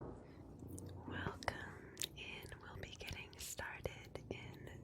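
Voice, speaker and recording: Someone whispers at a very slow pace with noticeable background noise. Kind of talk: livestream welcome to viewers. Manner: soft-spoken, relaxing.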